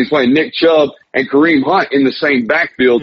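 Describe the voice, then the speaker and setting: A man with an ordinary speaking voice, fairly high in pitch, with lively intonation at a moderate pace. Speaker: sports reporter. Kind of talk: sports talk radio interview.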